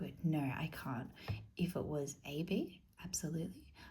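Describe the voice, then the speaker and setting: Soft-spoken and calm, gentle in tone, a woman talks in a dark, mellow voice with vocal fry. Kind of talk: ASMR tutoring roleplay, explaining maths to the listener. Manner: soft-spoken, calm, gentle.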